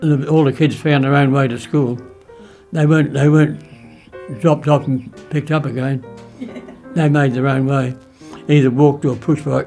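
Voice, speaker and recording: A man with an Australian accent, fairly high in pitch and flat, monotone in intonation, at a moderate pace with long, frequent pauses over background music. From South Australia. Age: 80s+. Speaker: WWII veteran. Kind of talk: interview answer.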